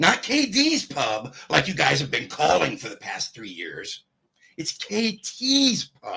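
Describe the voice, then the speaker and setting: His volume rises and falls in big swings. The man talks at a very slow pace. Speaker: online commentator. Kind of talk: angry rant. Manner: taunting, loud.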